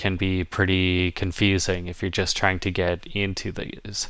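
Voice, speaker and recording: This recording is very clean, and the background is silent. The voice carries an American accent. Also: man. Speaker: educational YouTuber. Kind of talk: tutorial. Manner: casual, hesitant with fillers.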